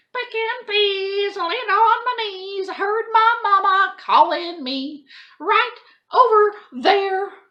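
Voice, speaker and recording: A woman speaks in a put-on character voice at an extremely high pitch. Her voice is raised and projected, and the pace is very slow. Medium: read story. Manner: sly, sing-song.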